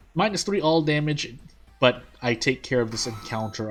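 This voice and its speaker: A man speaks at a fairly slow pace. His pitch is fairly high, with music playing in the background. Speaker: gaming video creator. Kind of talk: let's play commentary. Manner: quiet, holding voice down; halting, many fillers.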